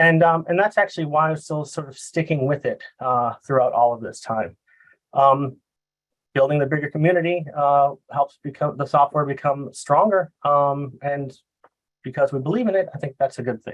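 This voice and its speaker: A man with a Boston accent talks in a fairly high pitch with ordinary pitch variation. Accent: Boston American. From US Northeast, Boston. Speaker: software consultant. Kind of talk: presentation. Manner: fast; halting, many fillers.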